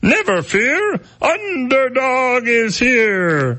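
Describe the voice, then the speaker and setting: A cartoonish character voice from a man, extremely high-pitched for a man, at a very slow pace. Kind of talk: cartoon catchphrase. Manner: heroic, declaiming, goofy.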